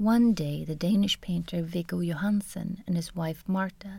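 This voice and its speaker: In a very clean recording with a silent background, a woman speaks at a moderate pace in a fairly low, somewhat breathy voice with a dark, mellow tone and fairly even intonation. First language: Swedish. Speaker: art history lecturer, podcast co-host. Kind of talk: scripted narration. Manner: formal.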